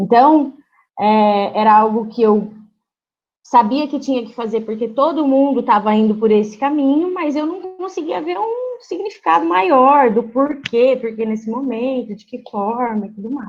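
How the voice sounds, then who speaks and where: A woman speaks at a fairly slow pace with a high pitch, lively intonation and big swings in loudness. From Brazil, Londrina (Paraná). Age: 20s. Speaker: physiotherapist. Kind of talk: interview.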